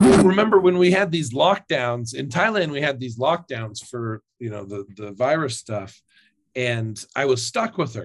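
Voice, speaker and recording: His voice somewhat breathy, a man talks at a fairly slow pace with very wide pitch swings and big swings in loudness. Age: 30s. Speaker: fitness influencer and former lawyer. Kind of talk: interview. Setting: remote call.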